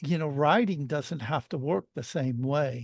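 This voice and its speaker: Over a quiet background, a man talks at a fairly high pitch with ordinary pitch variation. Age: 60s. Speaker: author and artist. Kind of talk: casual interview chat. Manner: halting, many false starts.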